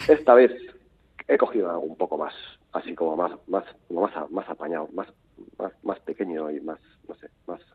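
A man's very deep, low voice at a moderate pace, with ordinary pitch variation and long, frequent pauses. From Basque Country, Portugalete. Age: 50s. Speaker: novelist. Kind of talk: interview. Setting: phone call. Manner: halting, repetitive.

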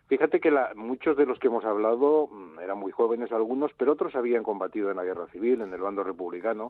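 Very fast speech from a man, medium in pitch, with ordinary variation in pitch. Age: 60s. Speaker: comic book editor and author. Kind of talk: interview.

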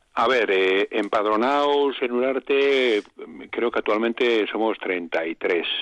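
The voice moves at a very slow pace with very even loudness. Its pitch varies by an ordinary amount. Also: man, medium pitch for a man. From Basque Country, Gipuzkoa (Arrasate). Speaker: village council president. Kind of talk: radio interview.

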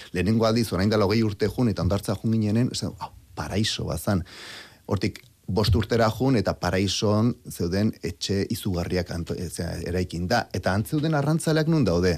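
A man speaks in an ordinary speaking voice at a fairly low pitch with lively intonation. The recording is very clean, with a silent background. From Basque Country. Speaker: biologist and historian. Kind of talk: radio interview.

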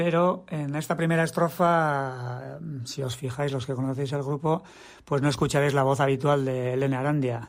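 At a moderate pace, a man with an unremarkable speaking voice and a fairly high pitch talks in a very clean recording with a silent background. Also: fairly even intonation. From Basque Country, Tolosa. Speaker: musician. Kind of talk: recorded statement about a song.

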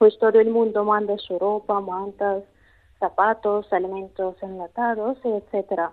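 A woman's medium-pitched voice in a Russian accent, fairly slow and with monotone, flat intonation. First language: Russian (speaking Spanish). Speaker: language teacher. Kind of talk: interview. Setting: phone call. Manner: halting.

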